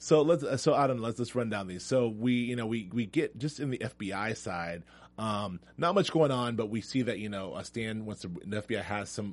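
An unremarkable speaking voice at a moderate pace, with ordinary pitch variation and a quiet background. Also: man. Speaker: TV after-show host. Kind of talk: casual chat. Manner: joking, chatty.

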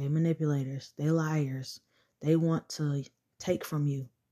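Against a quiet background, a woman speaks in a very deep, low voice with a dark, mellow tone. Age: 20s. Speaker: podcast host. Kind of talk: casual monologue. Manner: conversational.

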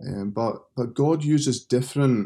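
A man talks at a fairly slow pace with a dark, mellow tone on a very clean recording with a silent background. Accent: Scottish. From Scotland. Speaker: seminary professor and pastor. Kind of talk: interview.

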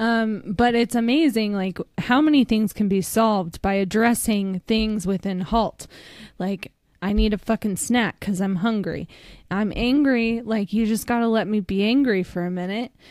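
A woman has an unremarkable speaking voice at a fairly high pitch. She speaks at a moderate pace with ordinary pitch variation. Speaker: recovery podcast co-host. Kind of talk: casual chat.

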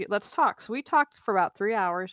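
An American woman with an ordinary speaking voice speaks at a medium pitch with lively intonation, in a very clean, dry, close recording with no echo and a silent background. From West Virginia, Wheeling. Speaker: life coach and professional declutterer. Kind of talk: interview conversation.

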